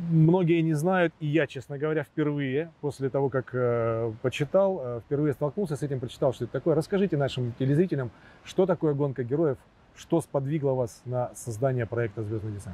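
Fairly high for a man, this man's voice has a dark, mellow tone and is somewhat breathy. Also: ordinary pitch variation, moderate pace, dry sound with no echo. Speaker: interviewer. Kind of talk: interview. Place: garden. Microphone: lapel.

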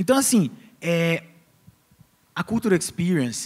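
A man's voice, fairly high in pitch, with very wide pitch swings. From Brazil. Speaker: founder of an international arts education agency; company founder on panel. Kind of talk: talk on stage. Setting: stage with audience. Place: stage. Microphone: handheld.

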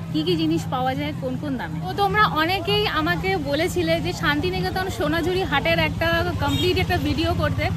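Crowd noise fills the background while a woman speaks, her sound dry with no echo. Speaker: travel vlogger. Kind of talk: casual vlog chat. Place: market. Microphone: handheld.

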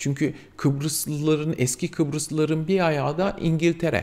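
Fairly high pitch from a man, at a moderate pace. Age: 40s. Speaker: vlogger, mature student; vlogger. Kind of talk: casual vlog monologue. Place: home room.

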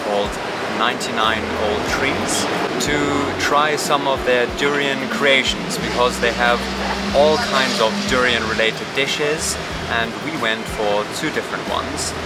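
A man talks at a moderate pace with ordinary pitch variation. Music plays in the background. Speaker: travel vlogger. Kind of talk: casual vlog chat. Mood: upbeat, relaxed.

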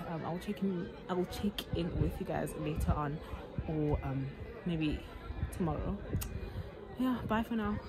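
A woman at a fairly slow pace, with long, frequent pauses and crowd noise in the background. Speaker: vlogger. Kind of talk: casual vlog chat. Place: open country. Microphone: phone near.

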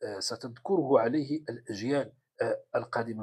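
The background is quiet. The pace is moderate. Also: man. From Morocco. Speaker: political commentator. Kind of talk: political commentary monologue. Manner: halting, many fillers. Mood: sarcastic, mocking. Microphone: phone near.

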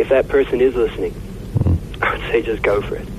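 Background noise is clearly noticeable here. The speaker is a man. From South Africa, Johannesburg. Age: 20s. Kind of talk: radio interview. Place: studio. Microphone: studio mic.

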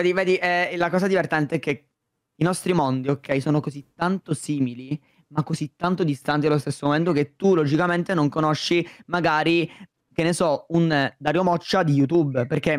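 Fairly even intonation at very even loudness, a dry sound with no echo, and a quiet background. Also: man, fairly high pitch for a man, moderate pace. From Sicily, Palermo; Sicily. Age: 20s. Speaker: YouTuber. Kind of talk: casual chat. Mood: relaxed, chatty. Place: home room. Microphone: studio mic.

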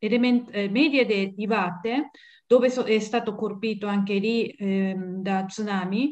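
A woman with a Japanese accent speaks at a fairly slow pace. Her fairly high voice shows ordinary pitch variation over a quiet background. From Japan, Tokyo area. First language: Japanese (speaking Italian). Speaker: guest. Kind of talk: interview. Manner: halting. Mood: moved, earnest. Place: home room. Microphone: webcam.

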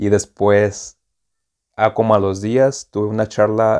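Against a quiet background, a man talks in a dark, mellow tone. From Mexicali, Baja California, Mexico; Baja California, Mexico. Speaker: student; interview guest. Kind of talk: casual chat. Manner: casual, halting. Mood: animated, emotional retelling. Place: home room. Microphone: lapel.

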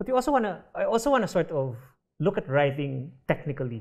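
A man with a Filipino accent talks at a fairly quick pace with very wide pitch swings against a quiet background. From Philippines. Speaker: short story writer; writer on a panel. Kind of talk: literary panel discussion. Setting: stage with audience. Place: stage.

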